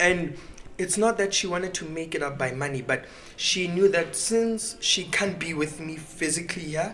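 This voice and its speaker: There is noticeable background noise behind a man speaking in a high voice. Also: ordinary pitch variation, moderate pace. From South Africa, Rustenburg. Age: 20s. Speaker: young pastor. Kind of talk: casual chat.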